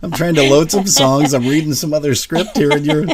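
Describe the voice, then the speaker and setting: This man's voice sits fairly high. There is noticeable noise behind him. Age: 60s. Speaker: radio host. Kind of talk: casual chat. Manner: animated.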